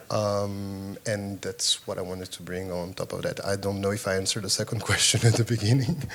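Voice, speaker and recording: Speaking with a French accent, a man keeps a moderate pace and a fairly low pitch with ordinary pitch variation. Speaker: panelist, tokenization company representative. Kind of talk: panel discussion. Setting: stage with audience at conference.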